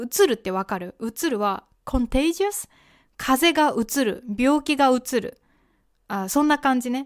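Against a quiet background, a woman speaks at a very slow pace with a high pitch and lively intonation. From Japan. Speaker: podcast host and Japanese teacher; Japanese podcast host. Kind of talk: casual educational monologue. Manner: conversational, with fillers and self-corrections. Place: home room. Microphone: studio mic.

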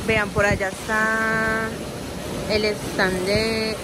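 A woman is speaking over loud background noise. The sound is dry, with no echo. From Medellín, Colombia. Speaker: travel vlogger. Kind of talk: casual talk to camera. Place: hall. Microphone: phone near.

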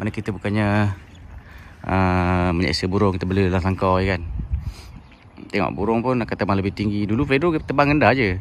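A man with a fairly low pitch and ordinary pitch variation, fairly quick speech with long, frequent pauses, a dry sound with no echo, and light background noise. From Malaysia. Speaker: bird keeper, YouTuber; YouTuber. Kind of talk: casual tutorial. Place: open country. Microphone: phone near.

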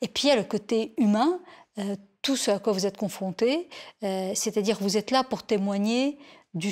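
At a fairly slow pace, a woman talks at a fairly high pitch. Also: quiet background. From Lebanon. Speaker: journalist, war reporter. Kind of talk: interview testimony. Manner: hesitant, many fillers. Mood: calm, reflective. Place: home room. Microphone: lapel.

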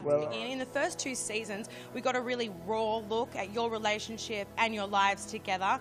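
A woman with an upbeat tone and fairly high pitch, ordinary pitch variation, a moderate pace with hardly any pauses, and clear music in the background. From Australia. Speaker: broadcast journalist. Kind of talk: TV entertainment report to camera.

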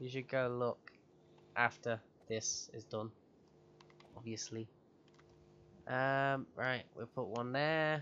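With long, frequent pauses, a man talks at a very slow pace in a medium pitch, his bright, sharp tone carrying fairly even intonation. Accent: British. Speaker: gaming youtuber. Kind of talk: let's play commentary. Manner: casual, frequent laughter.

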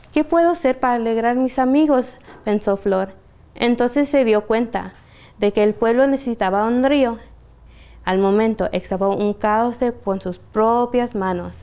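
A woman with a fairly high pitch and a dark, mellow tone speaks at a fairly slow pace, using ordinary pitch variation. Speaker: library storyteller. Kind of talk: bedtime story reading aloud to children. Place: shop.

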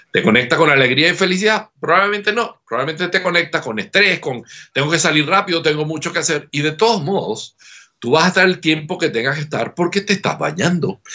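A man's high voice at a fairly quick pace over a quiet background. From Venezuela. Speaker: laughter therapist; guest. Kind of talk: interview. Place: home room. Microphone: webcam.

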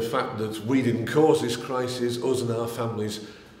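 A man speaks with monotone, flat intonation. There is audible room echo. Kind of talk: political appeal to camera. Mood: earnest, persuasive. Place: home room.

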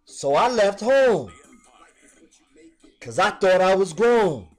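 A man speaks at a very slow pace with music playing in the background. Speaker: spoken word poet. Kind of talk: hip hop spoken word poetry performance.

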